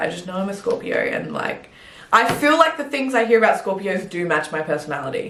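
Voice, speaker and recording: In an Australian accent, a woman talks at a fairly quick pace with an animated tone and lively intonation, over noticeable background noise and audible room echo. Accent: fully Australian. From Adelaide, Australia. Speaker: fitness coach and bodybuilder. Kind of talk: casual chat.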